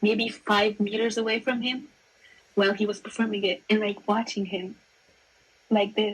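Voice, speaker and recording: A woman speaks at a moderate pace, somewhat breathy and fairly high-pitched, with monotone, flat intonation and long, frequent pauses. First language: not English. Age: 20s. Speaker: music fan guest. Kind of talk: casual chat.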